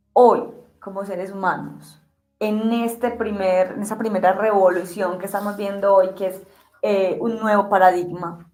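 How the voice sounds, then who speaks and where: A woman speaks at a medium pitch in a monotone, flat intonation, at a fairly slow pace, with audible room echo. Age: 40s. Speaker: interviewer. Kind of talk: conversational interview.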